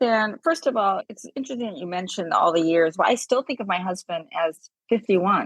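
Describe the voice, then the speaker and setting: In an unremarkable speaking voice, a woman of medium pitch speaks at a fairly quick pace with lively intonation and big swings in loudness, the sound dry and close with no echo. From US West Coast, Los Angeles. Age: 60s. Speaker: suicide loss widow, guest. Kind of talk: interview conversation.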